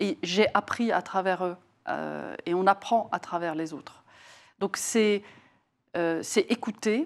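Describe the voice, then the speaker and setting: The speech comes at a very slow pace with long, frequent pauses and ordinary pitch variation, in a very clean recording with a silent background. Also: woman, medium pitch for a woman. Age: 60s. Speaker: facilities and workplace services executive. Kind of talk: interview. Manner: hesitant, many fillers.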